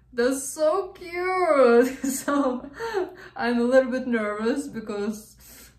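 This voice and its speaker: A woman speaks against a quiet background, with audible echo in the room. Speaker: reaction video host. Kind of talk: casual reaction commentary. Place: home room. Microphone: earbuds.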